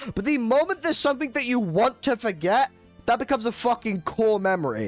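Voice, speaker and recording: Music plays behind a speaker with a British accent. The delivery is animated and fairly quick. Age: 20s. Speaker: streamer. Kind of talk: live gaming stream chat. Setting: live stream.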